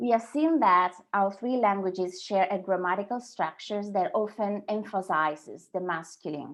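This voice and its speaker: A woman speaks with an Italian accent at a medium pitch and moderate pace. Her intonation is lively, with hardly any pauses. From Sardinia, Italy. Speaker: translator and copywriter. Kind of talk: webinar presentation. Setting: online webinar.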